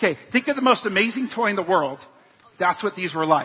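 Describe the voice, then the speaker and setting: Noticeable background noise sits under a man speaking at a very fast pace. His pitch varies in an ordinary way. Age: 40s. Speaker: pastor. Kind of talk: sermon.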